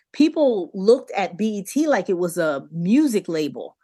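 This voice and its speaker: Speaking very slowly with an American accent, a woman has a medium pitch and a dark, mellow tone. Her pitch swings very widely, and the background is quiet. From US, Delaware. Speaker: TV producer and skincare entrepreneur. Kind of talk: interview conversation.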